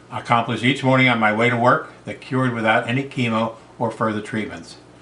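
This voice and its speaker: Noticeable noise sits behind a man whose intonation stays fairly even. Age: 70s. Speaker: heart transplant recipient. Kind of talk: testimony. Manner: formal.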